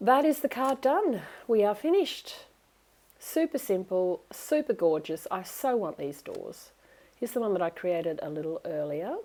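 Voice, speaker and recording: The voice has an Australian accent and moves at a moderate pace. Its pitch swings very widely. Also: woman, fairly high pitch for a woman. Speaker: craft demonstrator. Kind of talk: tutorial. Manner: chatty, enthusiastic.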